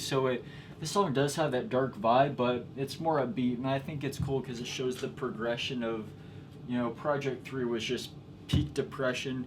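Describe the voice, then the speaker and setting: Noticeable background noise runs under this recording. A man speaks at a moderate pace. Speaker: musician explaining own song production. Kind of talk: casual tutorial. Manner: casual, filler-heavy speech. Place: studio. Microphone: camera far.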